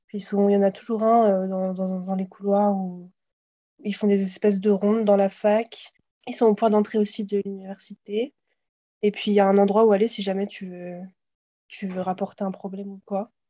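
A woman with a dark, mellow tone speaks at a moderate pace and medium pitch, her intonation monotone and flat, with big swings in loudness and long, frequent pauses. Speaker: exchange student, podcast co-host. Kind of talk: casual chat.

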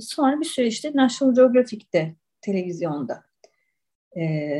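Somewhat breathy with a dark, mellow tone, the voice swings very widely in pitch. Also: woman. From Istanbul, Turkey. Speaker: writer and olive oil taster. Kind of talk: podcast interview.

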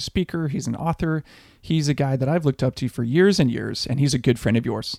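In a dry, close recording with no echo and a silent background, a man with an unremarkable speaking voice talks fairly quickly at a medium pitch, his pitch varying in an ordinary way. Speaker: podcast co-host. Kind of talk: podcast intro and outro.

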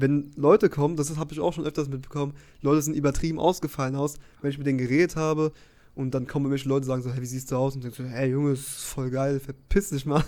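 Fairly high pitched yet dark and mellow in tone, a man speaks very fast with fairly even intonation. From Germany, Frankfurt area. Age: 20s. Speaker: podcast co-host. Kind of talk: casual chat.

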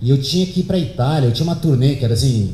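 A man speaks at medium pitch with lively intonation. Audible room echo and noticeable background noise come through. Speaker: speaker giving a talk at an event. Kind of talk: talk to an audience, storytelling. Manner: relaxed, conversational.

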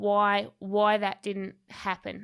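In a very clean recording with a silent background, a woman speaks with an Australian accent at a fairly high pitch. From Tasmania, Australia. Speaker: podcast host and gym owner. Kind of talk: casual interview; scripted narration.

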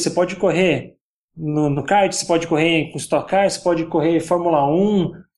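His voice sits high in pitch. This man talks at a moderate tempo. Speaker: YouTuber on virtual racing. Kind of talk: casual podcast chat.

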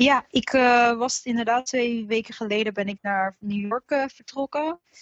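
At a fairly slow pace, a woman talks in an unremarkable speaking voice, fairly high in pitch with ordinary pitch variation. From Netherlands, Alphen aan de Rijn. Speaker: singer in a band. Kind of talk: casual chat. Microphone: connection dropped out.

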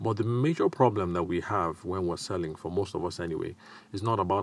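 A man with a Nigerian accent speaks with very deep, low pitch. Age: middle-aged. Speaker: sales and business podcast host. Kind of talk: solo podcast monologue. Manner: hesitant, many filler sounds.

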